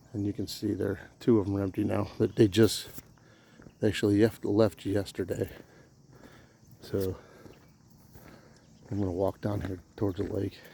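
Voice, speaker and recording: This man talks quietly at a moderate pace, his fairly low, somewhat breathy voice dark and mellow in tone. His intonation is flat and monotone, broken by long, frequent pauses. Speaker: camping vlogger. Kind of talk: casual walkthrough vlog. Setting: outdoors. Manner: halting.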